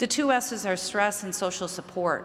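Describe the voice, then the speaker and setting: With a slight Chicago accent, the speaker talks at a moderate pace with ordinary pitch variation in audible room echo. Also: woman. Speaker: mental health researcher. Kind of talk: conference talk.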